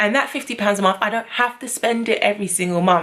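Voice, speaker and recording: A woman speaks with a British accent. Noticeable background noise sits behind her. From London. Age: 20s. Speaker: beauty and lifestyle vlogger. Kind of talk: casual talk to camera. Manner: upbeat, chatty.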